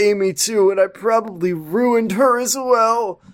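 A man puts on a character voice. He speaks at a high pitch. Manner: pained, brooding.

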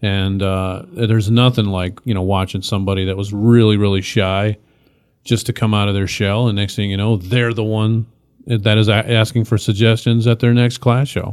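In a Midwestern US accent, the speaker keeps a monotone, flat intonation at a moderate pace. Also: man, fairly low pitch for a man. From Michigan, north end of Flint. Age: 40s. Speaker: improv actor and teacher. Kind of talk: casual chat.

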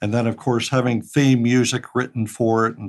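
A man speaks at a moderate pace with an American accent and a medium pitch. His is an unremarkable speaking voice. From Pittsburgh, US. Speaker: retired engineer and audio drama writer. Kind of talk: interview. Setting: remote recording from home.

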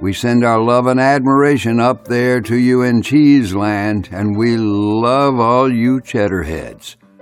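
Faint music plays in the background as a man speaks at a fairly slow pace. His voice sits at a medium pitch with ordinary variation.

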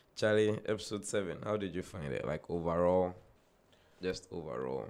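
A man's very deep, low voice with lively intonation, vocal fry and a moderate pace. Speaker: podcast host and DJ. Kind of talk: casual chat.

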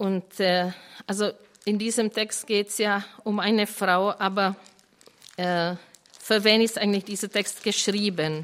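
A very slow pace in a Czech accent, with monotone, flat intonation and long, frequent pauses. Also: woman, medium pitch for a woman. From Czech Republic. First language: Czech (speaking German). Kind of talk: Bible teaching to a live group.

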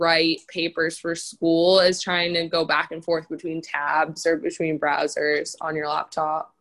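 A woman speaks with an American accent at a fairly low pitch. Her pace is moderate and the background is quiet. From Boston, Massachusetts. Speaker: college student. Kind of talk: casual chat. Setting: video call.

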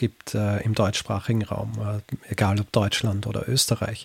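A somewhat breathy voice with a slight Vorarlberg accent, dry and close with no echo. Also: man. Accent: slight Vorarlberg tinge. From Austria, Vorarlberg (born in Graz). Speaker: historian and podcaster. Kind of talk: interview.

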